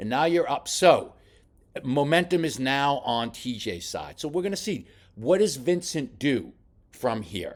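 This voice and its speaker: An animated man with very wide pitch swings and vocal fry in a very clean recording with a silent background. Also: fairly slow pace. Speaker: boxing coach. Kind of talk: film study commentary.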